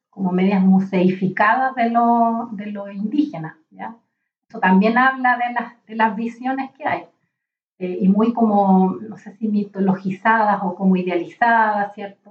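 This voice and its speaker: Somewhat breathy and medium in pitch, a woman speaks at a fairly slow pace. Her intonation is fairly even while her loudness swings widely. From Chile, Valparaíso region (rural mountain area). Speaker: literature professor and librarian. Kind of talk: interview conversation.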